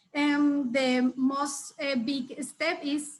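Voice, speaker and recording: A woman speaks in a high-pitched voice. Her intonation stays fairly even. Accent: Spanish. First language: Spanish. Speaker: regional network representative. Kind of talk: conference presentation. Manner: halting, many fillers.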